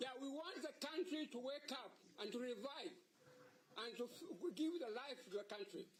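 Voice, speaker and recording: Extremely high male voice with lively intonation at a moderate pace. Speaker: senior advocate. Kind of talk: court submission. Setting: courtroom. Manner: loud; formal.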